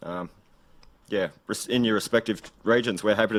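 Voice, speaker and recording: Talking at a fairly quick pace, a man has an Australian accent and a fairly low pitch. The recording is very clean with a silent background. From Australia, rural Gippsland, Victoria. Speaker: political candidate. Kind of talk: political speech. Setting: live event with audience. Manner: fast.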